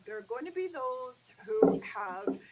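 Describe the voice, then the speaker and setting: A woman's voice moves in very wide pitch swings. Noticeable background noise can be heard. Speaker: business chamber executive. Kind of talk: live interview. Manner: a little quiet; animated, uses hands. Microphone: too quiet.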